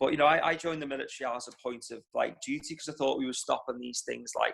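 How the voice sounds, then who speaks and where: Very fast, fairly high-pitched male speech with a Liverpool accent. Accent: Liverpool (Scouse). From Liverpool, England. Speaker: war veteran. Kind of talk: personal testimony in online talk. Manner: halting, many repetitions.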